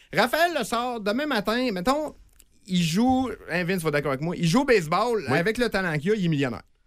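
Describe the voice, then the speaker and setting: A high-pitched male voice with very wide pitch swings and a fairly quick pace, in a very clean recording with a silent background. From Quebec, Saguenay region. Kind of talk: casual chat.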